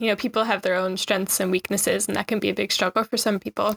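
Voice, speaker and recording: A woman with a Newfoundland accent, in a dry, close sound with no echo. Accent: Newfoundland Canadian English. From Newfoundland, Canada. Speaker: Instagram travel creator living in Japan. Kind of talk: interview.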